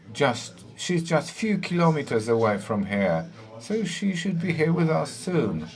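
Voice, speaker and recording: At a fairly slow pace, the voice makes very wide pitch swings, with audible room echo and noticeable background noise. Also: man, fairly high pitch for a man. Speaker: panel moderator. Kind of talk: panel discussion introduction.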